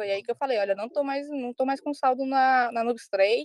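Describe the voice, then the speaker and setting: A woman talks fairly quickly with fairly even intonation, in a plain, everyday voice. The sound is dry and close, with no echo. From Ceará, Brazil. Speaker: crypto P2P trader. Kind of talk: casual chat.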